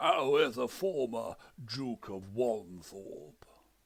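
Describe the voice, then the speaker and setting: A man performs a put-on character voice at a very slow pace with medium pitch. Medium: read story. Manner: formal, put-upon, precise.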